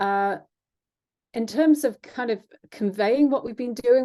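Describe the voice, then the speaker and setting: Against a quiet background, a woman with a fairly high pitch and a dark, mellow tone speaks at a moderate pace with ordinary pitch variation. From England. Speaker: education researcher, former history teacher. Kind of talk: webinar presentation. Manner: hesitant, many fillers.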